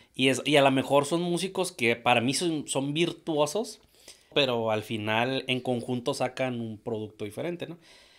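A man talks with ordinary pitch variation at a moderate pace over a quiet background. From Mexico. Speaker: podcast host. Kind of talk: casual interview. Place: studio. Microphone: studio mic.

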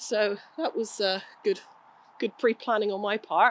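A woman speaks in an English accent with fairly even intonation. Noticeable background noise runs behind her. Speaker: equestrian vlogger. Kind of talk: casual vlog. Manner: halting, hesitant.

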